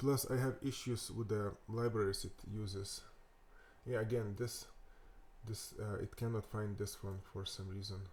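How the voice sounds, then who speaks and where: Somewhat breathy and fairly low in pitch, a man with a Lithuanian accent talks at a moderate pace. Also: fairly even intonation. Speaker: web developer. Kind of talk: tutorial. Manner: halting, many fillers and repetitions.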